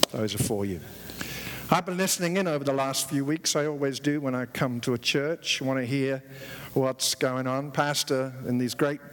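A man with a British accent speaks at a moderate pace in a fairly high pitch, with ordinary pitch variation. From England. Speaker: visiting preacher. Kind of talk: sermon. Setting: church with congregation. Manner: humorous, jokes with audience.

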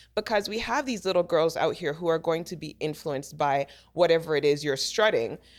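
The recording is very clean, with a silent background, and features a woman with a plain, everyday voice. She speaks at a fairly quick pace with a fairly low pitch and ordinary pitch variation. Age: 40s. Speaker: celebrity makeup artist. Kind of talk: casual chat.

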